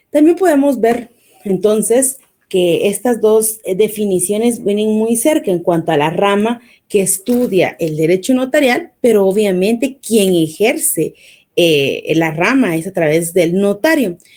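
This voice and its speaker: At a fairly slow pace, a woman speaks in a medium pitch with a dark, mellow tone. Her pitch swings very widely. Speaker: law lecturer. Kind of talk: online lecture.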